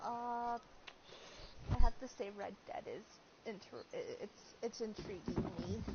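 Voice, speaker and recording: Soft-spoken and at a fairly slow pace, a woman talks with long, frequent pauses and big swings in loudness over noticeable background noise. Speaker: gaming streamer. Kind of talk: casual chat. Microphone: sounds quiet, not the mic.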